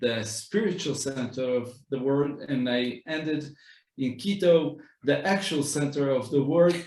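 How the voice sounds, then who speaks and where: A man with an Israeli accent talks at a fairly slow pace in a fairly high voice. His pitch varies in an ordinary way, and the room echo is audible. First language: Hebrew. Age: 30s. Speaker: rabbi. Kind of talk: walking tour talk. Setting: walking tour of community center.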